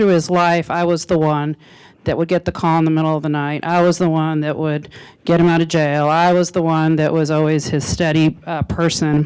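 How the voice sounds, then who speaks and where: Here a woman with an American accent talks at a moderate pace and a fairly low pitch. The recording is very clean, with a silent background. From Arizona. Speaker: law enforcement speaker. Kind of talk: public talk. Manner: loud; halting.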